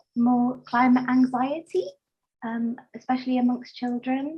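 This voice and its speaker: High-pitched and dark, mellow in tone, a woman speaks at a fairly slow pace with fairly even intonation. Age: 30s. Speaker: workshop participant, mental health worker. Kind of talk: question in online discussion. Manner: halting, many fillers.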